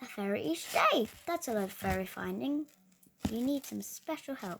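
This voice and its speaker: A woman's put-on character voice, fairly high in pitch, at a moderate pace. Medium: read story.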